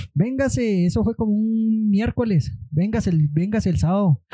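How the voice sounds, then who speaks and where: The voice has a dark, mellow tone and lively intonation. The sound is dry and close, with no echo. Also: man. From Mexico, Chihuahua (Madera). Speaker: art student. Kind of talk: casual chat. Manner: relaxed. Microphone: too quiet, needs to be closer.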